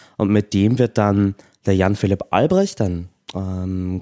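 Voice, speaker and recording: With a slight Austrian accent and a dark, mellow tone, the voice moves at a fairly slow pace in a dry, close sound with no echo. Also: man. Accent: slight Austrian, often taken for German. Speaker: activist and stand-in co-host. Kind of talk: casual chat. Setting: remote call.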